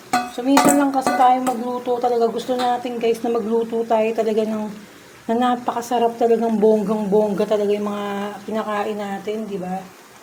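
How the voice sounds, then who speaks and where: A soft-spoken woman with fairly high pitch talks at a fairly quick pace and fairly even intonation. Audible room echo and noticeable background noise surround her voice. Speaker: vlogger cooking at home. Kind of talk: casual cooking vlog.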